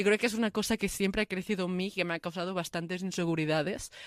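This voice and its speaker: In an ordinary speaking voice, a woman speaks at a medium pitch with fairly even intonation, on a very clean recording with a silent background and a dry, close sound with no echo. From Catalonia, Spain (Lleida). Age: 20s. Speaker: interviewee sharing migrant family story. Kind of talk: testimony.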